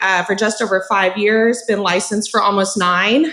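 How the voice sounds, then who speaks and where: A woman speaks with an American accent at a moderate pace, her pitch fairly high with ordinary variation. Noticeable background noise sits behind her. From Texas. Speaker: real estate agent. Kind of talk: panel introduction.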